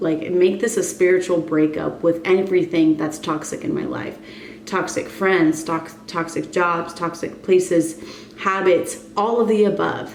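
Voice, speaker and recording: Amid noticeable background noise and audible room echo, the speech moves at a fairly slow pace with fairly even intonation. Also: woman, fairly low pitch for a woman. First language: Spanish. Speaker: wellness and fitness coach vlogger. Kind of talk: casual vlog monologue.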